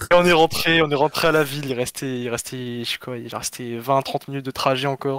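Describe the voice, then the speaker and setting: In a normal speaking voice, a man talks at a moderate pace with fairly even intonation, the sound dry and close with no echo. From southern France, Perpignan. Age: 20s. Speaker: caller telling travel story. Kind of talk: casual storytelling.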